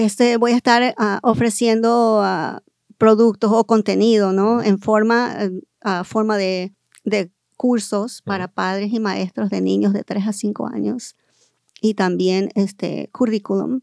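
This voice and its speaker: The woman's voice sits at a medium pitch with fairly even intonation. She speaks at a fairly slow pace. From Southern California (Los Angeles area). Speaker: educator and school board candidate. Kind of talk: interview. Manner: halting, many fillers.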